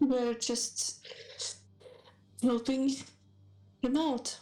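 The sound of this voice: This is a put-on character voice, squeaky and female-sounding. It sits high in pitch for a woman.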